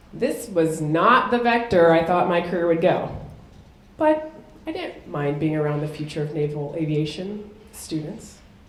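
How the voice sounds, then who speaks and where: Speech moves at a moderate pace with ordinary pitch variation. Audible room echo and noticeable background noise surround it. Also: woman, fairly low pitch for a woman. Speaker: military officer and keynote speaker. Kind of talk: keynote speech.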